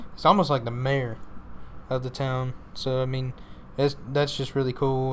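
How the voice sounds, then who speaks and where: There's a Texan accent in this man's medium-pitched voice. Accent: Texas country. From Northeast Texas (Paris area). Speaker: monster truck driver. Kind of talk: casual interview.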